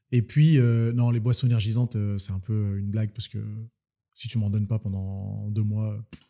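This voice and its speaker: Over a quiet background, a man with a dark, mellow tone talks at a fairly low pitch and moderate pace with fairly even intonation. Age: 30s. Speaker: fitness coach and entrepreneur; fitness coach. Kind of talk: casual interview. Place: home room. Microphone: studio mic.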